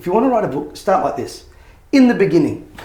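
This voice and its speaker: Talking at a very fast pace with an Australian accent, a man with a high-pitched voice is heard over noticeable background noise. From Australia, Sydney (Bankstown). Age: 60s. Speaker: motivational speaker and author. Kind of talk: interview.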